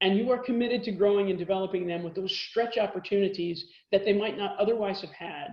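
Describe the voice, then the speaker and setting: In a room with audible echo, a woman with an American accent and medium pitch talks at a very fast pace with fairly even intonation. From Texas. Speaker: corporate lawyer. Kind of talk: lecture.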